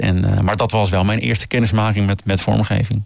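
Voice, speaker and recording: A man at a fairly quick pace and fairly low pitch, with music in the background. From Groningen, northern Netherlands. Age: 40s. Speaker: jingle producer. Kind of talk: casual chat.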